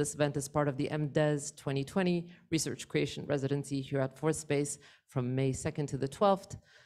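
A woman talks at a moderate pace. Her pitch is very deep and low. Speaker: event host. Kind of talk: event welcome address. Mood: warm, lightly amused. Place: hall. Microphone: handheld.

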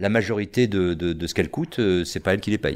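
A man's very deep, low voice at a fairly quick pace. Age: 50s. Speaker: theatre teacher. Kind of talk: casual chat. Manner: halting. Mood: engaged, explanatory. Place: studio. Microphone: studio mic.

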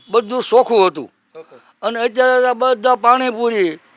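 The man's voice sits at an extremely high pitch. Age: 60s. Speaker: village elder. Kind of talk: street interview.

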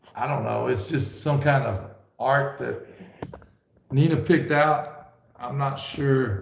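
Very slow speech with long, frequent pauses, ordinary pitch variation and audible room echo. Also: man, fairly high pitch for a man. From Ontario, Canada. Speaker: YouTuber, ration reviewer. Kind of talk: live stream chat. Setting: home studio.

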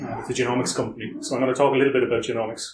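A man with an Irish accent is heard with audible room echo and light background noise. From Ireland. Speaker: security consultant; presenter. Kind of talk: conference talk. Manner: fast. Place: meeting room. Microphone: camera far.

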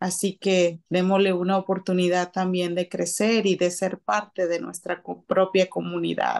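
Speaking in a normal speaking voice at a medium pitch, a woman goes at a fairly slow pace with fairly even intonation against a quiet background. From Guatemala City. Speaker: house cleaning business owner. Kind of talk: radio interview.

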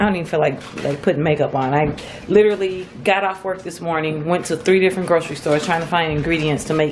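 A woman speaks at a very fast pace in a fairly low pitch. Her intonation stays fairly even over light background noise. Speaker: vlogger. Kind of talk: casual vlog chat. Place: home room. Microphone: phone near.

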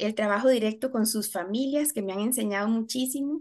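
The voice has ordinary pitch variation. The background is quiet. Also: woman. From Costa Rica. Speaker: special education teacher and university lecturer; special education teacher, university lecturer. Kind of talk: webinar presentation. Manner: hesitant, many filler sounds. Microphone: video call.

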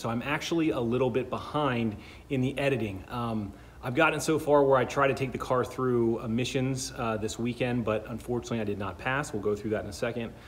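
The delivery is very fast, with ordinary pitch variation. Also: man. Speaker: car hobbyist vlogger. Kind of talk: casual vlog chat. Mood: upbeat, joking about heat. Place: garage. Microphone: phone near.

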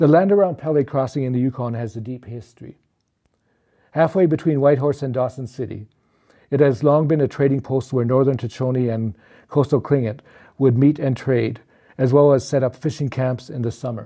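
A man speaks in a Canadian accent with a dark, mellow tone and ordinary pitch variation. The background is quiet. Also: medium pitch for a man, fairly quick pace. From Saskatchewan, Canada (First Nation near Saskatoon). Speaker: author. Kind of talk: reading aloud.

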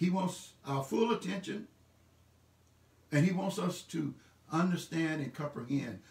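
A man talks at a fairly slow pace with long, frequent pauses. His intonation is lively, and room echo is audible. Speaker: pastor. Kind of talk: sermon / church message delivered online. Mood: warm and encouraging. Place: home room.

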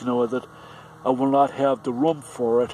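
Over light background noise, a man speaks in a monotone, flat intonation, with a dry sound and no echo. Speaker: vlogger. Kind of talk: casual vlog chat. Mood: frustrated, complaining. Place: street. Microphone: phone near.

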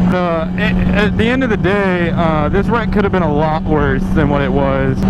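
A man speaks at a moderate pace through loud background noise, the sound dry and without echo. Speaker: motorcycle vlogger. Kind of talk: casual vlog chat. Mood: calm, reflective. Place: motorbike. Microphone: helmet.

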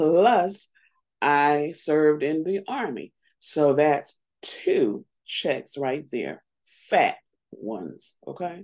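A woman with a very deep, low pitch and lively intonation speaks at a very slow pace over a quiet background. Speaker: vlogger. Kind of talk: casual vlog chat. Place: home room. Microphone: webcam.

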